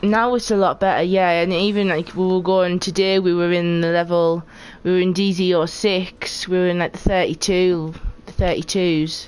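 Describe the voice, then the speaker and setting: In a Geordie accent, a woman speaks at a moderate pace with very even loudness. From northeast England (Geordie). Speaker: video game streamer. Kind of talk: casual live-stream chat while gaming. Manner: animated. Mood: relaxed, chatty.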